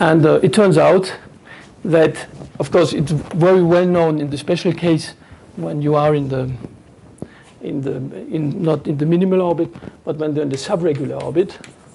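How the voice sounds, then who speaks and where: Long, frequent pauses break up fairly even intonation, with audible room echo around the voice. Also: man, fairly high pitch for a man, moderate pace. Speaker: mathematician. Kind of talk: lecture. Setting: conference talk.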